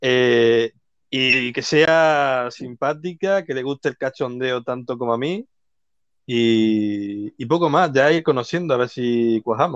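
Against a quiet background, a man of medium pitch speaks at a very slow pace with ordinary pitch variation, in a dry, close sound with no echo. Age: 20s. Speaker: dating show contestant. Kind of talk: casual chat. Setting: online live audio room.

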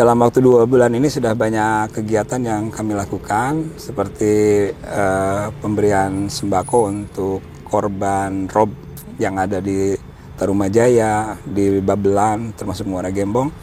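With music in the background, a man speaks at a fairly slow pace using fairly even intonation. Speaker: scout leader and local government official. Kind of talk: interview.

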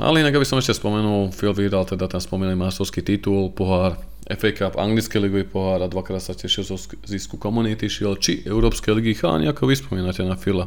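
A man's very deep, low voice at a very fast pace with lively intonation. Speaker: football fan podcast host. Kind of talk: casual chat.

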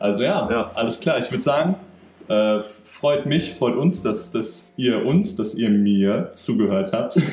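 A man's medium-pitched voice at a very slow pace, with very wide pitch swings. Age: 20s. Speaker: podcast host, engineering student. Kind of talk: casual chat.

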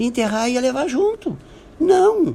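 The voice belongs to a man. Its tone is dark and mellow. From Brazil, Santo Antônio da Patrulha, Rio Grande do Sul. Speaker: businessman. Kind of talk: radio interview.

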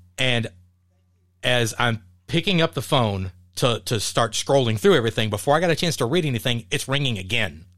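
In a normal speaking voice, a man talks at a fairly quick pace with lively intonation, and the recording is very clean with a silent background. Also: medium pitch for a man. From Texas (Dallas). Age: 50s. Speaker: podcast host. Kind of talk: casual chat.

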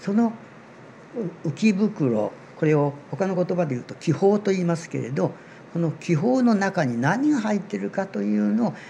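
Moving through very wide pitch swings, a man speaks at a high pitch and a moderate pace. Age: 80s+. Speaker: amateur seaweed researcher. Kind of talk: interview explanation.

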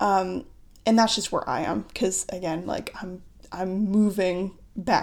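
In a very clean recording with a silent background, a woman with an American accent and an ordinary speaking voice talks at a fairly slow pace. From United States. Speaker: astrologer podcast host. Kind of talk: solo podcast monologue about astrology.

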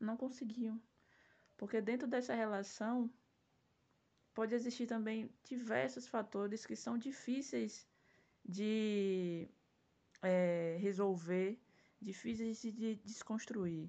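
Fairly high female voice, dark and mellow in tone, with ordinary pitch variation, a very slow pace and long, frequent pauses. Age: 20s. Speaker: self-defense instructor and podcast host. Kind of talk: solo podcast monologue.

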